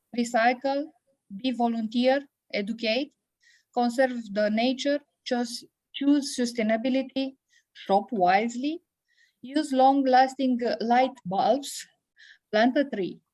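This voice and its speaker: In a Romanian accent, a high-pitched woman speaks at a very slow pace with long, frequent pauses. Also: ordinary pitch variation. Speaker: biology teacher. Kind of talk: conference talk. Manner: halting, many hesitations.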